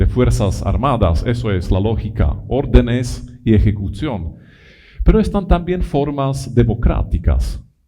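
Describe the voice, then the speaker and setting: Speaking at a very slow pace in an Italian accent, the voice shows vocal fry and very wide pitch swings, with audible room echo. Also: man. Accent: non-native Spanish with Italianisms. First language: not Spanish (speaking Spanish). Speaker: lecturer on education. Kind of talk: conference lecture. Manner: halting, many repetitions.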